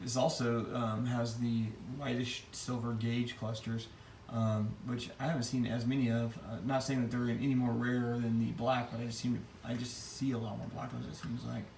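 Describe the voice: At a moderate pace, a man speaks at medium pitch with little pitch movement, vocal fry and a slightly mellow tone, and audible room echo surrounds him.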